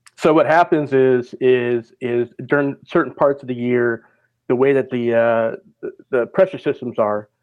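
A man with an American accent talks in a plain, everyday voice at a medium pitch. His pitch variation is ordinary. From Minnesota, US Midwest. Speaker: weather forecaster. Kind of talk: casual chat.

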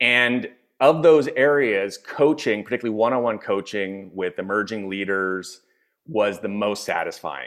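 An unremarkable speaking voice from a man with an American accent, fairly low in pitch, lively in intonation, at a moderate pace. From US, Philadelphia. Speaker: executive coach and author. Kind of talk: interview.

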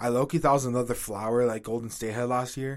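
An animated man at medium pitch with an American accent, on a very clean recording with a silent background. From Washington, D.C. area. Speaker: sports podcast co-host. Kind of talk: casual chat.

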